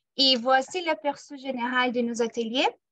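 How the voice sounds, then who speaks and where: A raised, projected voice with a bright, sharp tone and a non-native accent, dry and close with no echo. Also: woman. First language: not French (speaking French). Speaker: program manager. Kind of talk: workshop presentation. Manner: hesitant, many filler sounds.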